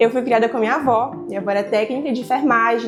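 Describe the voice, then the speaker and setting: Over music in the background, a woman speaks at a very fast pace. Her pitch is high, with ordinary variation. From Brazil, Acre. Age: 20s. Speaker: medical student vlogger. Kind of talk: casual vlog monologue.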